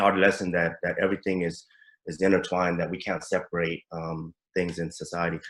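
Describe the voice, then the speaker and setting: A male speaker in an American accent. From San Francisco, US. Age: 40s. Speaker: former prisoner. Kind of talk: testimony. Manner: halting.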